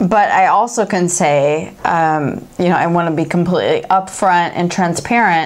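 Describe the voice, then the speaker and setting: A woman has an ordinary speaking voice with a fairly low pitch and ordinary pitch variation. Her pace is moderate and her loudness stays very even. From Chicago, US Midwest. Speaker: beer review show co-host, baker; beer review show co-host. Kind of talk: casual beer-tasting chat; reading brewery history aloud. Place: studio.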